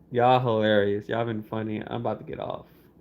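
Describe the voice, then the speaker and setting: Quiet and at a moderate pace, a man speaks at a medium pitch with ordinary pitch variation. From Palestinian background. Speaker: live streamer. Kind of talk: casual livestream chat. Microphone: phone audio.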